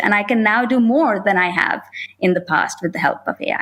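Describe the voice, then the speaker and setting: A woman with a non-native accent, fairly high pitch and lively intonation at a moderate pace, on a very clean recording with a silent background. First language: not English. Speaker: panelist at women in IT event. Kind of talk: panel discussion.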